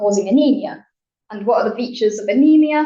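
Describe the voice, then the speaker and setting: A woman's somewhat breathy voice moves along fairly quickly, its pitch varying in an ordinary way. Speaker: scientist giving a public talk. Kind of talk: popular science talk in a bar. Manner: animated.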